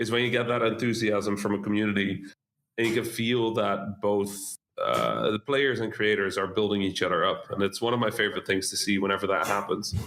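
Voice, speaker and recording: A man with a Dutch accent talks at a fairly quick pace in a fairly low voice. His intonation is flat and monotone, and his loudness stays very even. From Netherlands, Dutch-Egyptian family. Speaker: game developer. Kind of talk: interview.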